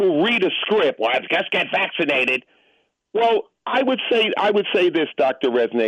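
The man's pace is moderate. He talks with an American accent. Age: 60s. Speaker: radio caller. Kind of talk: phone-in conversation. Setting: phone call.

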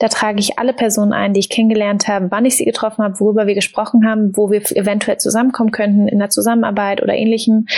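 Speaking very fast with hardly any pauses, a woman with a fairly high voice keeps a flat monotone and very even loudness over noticeable background noise. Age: 20s. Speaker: startup founder and author. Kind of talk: casual interview.

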